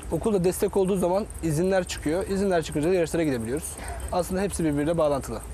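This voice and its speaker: A man talks very fast at a high pitch, his loudness very even and his pitch varying ordinarily. The sound is dry with no echo, with light background noise. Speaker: sailing coach. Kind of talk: TV interview. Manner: halting. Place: garden. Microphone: lapel.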